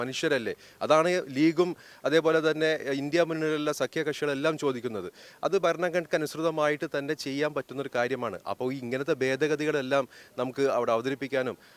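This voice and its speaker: An unremarkable speaking voice from a man, fairly high in pitch with fairly even intonation, dry and close with no echo, on a very clean recording with a silent background. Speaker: politician and lawyer. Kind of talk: press interview.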